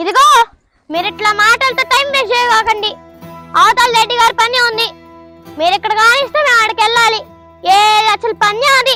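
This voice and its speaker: An extremely high, put-on character voice moves at a moderate pace. Faint music plays in the background. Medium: comedy sketch. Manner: boastful, brisk village talk.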